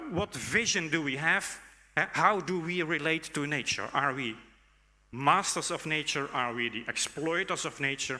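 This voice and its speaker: A man speaks with a Dutch accent at a fairly slow pace. His voice has a fairly high pitch and a bright, sharp tone. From Netherlands. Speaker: conference speaker, academic. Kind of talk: conference keynote talk. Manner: hesitant, many fillers.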